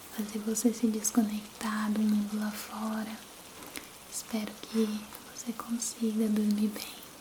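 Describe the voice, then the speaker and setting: Soft-spoken, very slow speech over noticeable background noise. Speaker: ASMR content creator. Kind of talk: casual intimate talk to camera, greeting the listener. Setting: steady rain sound in the background. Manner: soft-spoken, gentle, relaxing.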